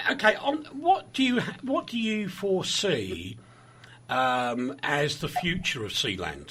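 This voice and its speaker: Against noticeable background noise, a man speaks at a very slow pace. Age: 60s. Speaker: radio presenter. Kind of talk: radio interview.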